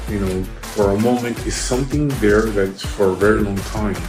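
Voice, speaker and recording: Music plays in the background. Over it a man speaks at a fairly low pitch with fairly even intonation. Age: 50s. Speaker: surgery patient. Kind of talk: patient testimonial interview answer.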